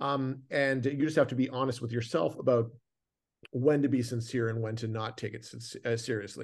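A man with a Canadian accent, medium pitch, fairly even intonation and a moderate pace against a quiet background. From Canada. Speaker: film director. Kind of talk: casual interview. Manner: halting, many fillers.

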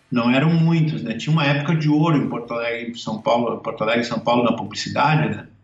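There is audible room echo around this man. His voice is fairly high in pitch. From southern Brazil, Caxias do Sul, Rio Grande do Sul. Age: 50s. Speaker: cartoonist. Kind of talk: casual interview.

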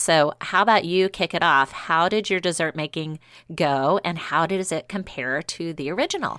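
A woman with an American accent, fairly low pitch, bright, sharp tone, moderate pace, and ordinary pitch variation, in a very clean recording with a silent background and a dry, close sound with no echo. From US South, New Orleans. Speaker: baking podcast co-host. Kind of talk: casual chat.

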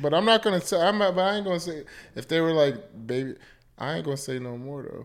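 A man with a fairly high pitch talks at a very fast pace and with lively intonation. The recording is very clean, with a silent background. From US Mid-Atlantic (Washington DC area). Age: 30s. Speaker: psychologist. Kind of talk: casual chat.

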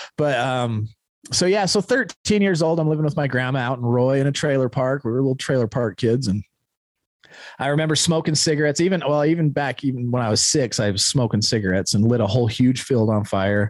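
A man with an American accent and a plain, everyday voice, medium pitch, lively intonation and very even loudness. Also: fairly quick pace. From Utah (Ogden). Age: 40s. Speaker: recovering addict, founder of a recovery organization. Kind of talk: casual chat. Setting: studio.

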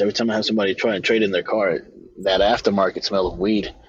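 A man speaks at a fairly low pitch. Noticeable background noise runs under his voice. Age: 30s. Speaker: car salesman. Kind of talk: casual chat.

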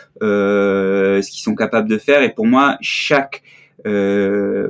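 A man speaks against a quiet background. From southern France (Marseille). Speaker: ski photographer. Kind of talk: interview. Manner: hesitant, many fillers.

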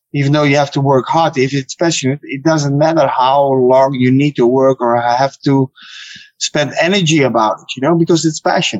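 In a Dutch accent, a man speaks at a moderate pace with ordinary pitch variation. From Netherlands. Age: 30s. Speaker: kickboxer. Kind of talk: interview. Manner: halting.

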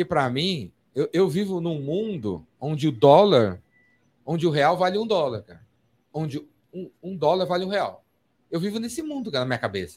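A man speaks in a high voice at a moderate pace, his intonation lively and his loudness swinging widely. He leaves long pauses, and often. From São Paulo, Brazil. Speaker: podcast host. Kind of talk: casual chat. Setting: studio.

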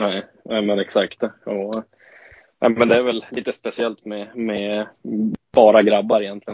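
Fairly slow and flat, a man's fairly low voice stays monotone throughout. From northern Sweden, Åsele (Lapland). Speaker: ice hockey player. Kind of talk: interview. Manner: halting.

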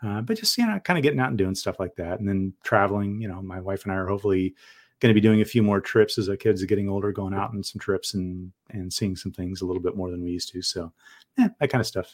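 In a Californian accent, the speaker talks at a very fast pace with fairly even intonation, recorded with a dry, close sound and no echo. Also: man, fairly low pitch for a man, very clean recording, silent background. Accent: General American (Californian). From US West Coast (San Diego, California). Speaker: co-founder and tech manager of a fantasy football site. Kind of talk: casual interview.

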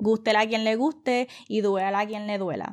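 Fairly high-pitched woman with a Puerto Rican accent, moderate pace and fairly even intonation, on a very clean recording with a silent background. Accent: Puerto Rican Spanish with Spanglish. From Puerto Rico. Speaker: podcast host. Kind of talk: casual monologue.

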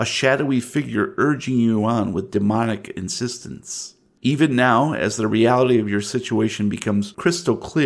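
With ordinary pitch variation, this is an unforced reading voice.

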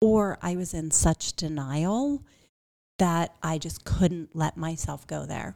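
With an American accent, a woman speaks at a very slow pace in a fairly low pitch and a dark, mellow tone, recorded very cleanly against a silent background. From Pittsburgh area, Pennsylvania. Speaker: podcast host and cancer survivor. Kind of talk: interview.

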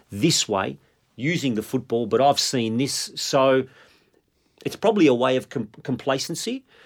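A man with an Australian accent, medium pitch, lively intonation and moderate pace, on a very clean recording with a silent background. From Melbourne, Australia (Italian migrant family, Northcote). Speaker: football coach. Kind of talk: casual chat.

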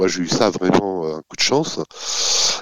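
A man's voice at a very slow pace. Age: 50s. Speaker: company executive. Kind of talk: interview. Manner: hesitant, repeats words; enthusiastic.

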